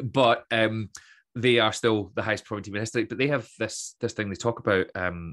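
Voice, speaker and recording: A man's fairly low voice in a west coast Scottish accent, fairly quick and fairly even in intonation, over a quiet background. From west coast of Scotland (Troon, Ayrshire). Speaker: motivational speaker, former teacher and comedian. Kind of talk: casual interview chat.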